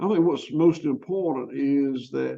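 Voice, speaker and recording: A man with a Southern US accent and a fairly high pitch. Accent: Southern US (Georgia). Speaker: farmer. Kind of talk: interview. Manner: halting.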